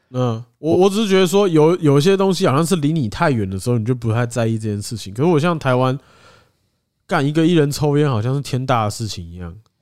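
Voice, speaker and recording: Against a very clean recording with a silent background, a man with a Taiwanese accent talks at a very fast pace, his fairly high pitch making very wide swings. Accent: Taiwanese Mandarin. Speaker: podcast co-host. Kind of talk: casual chat.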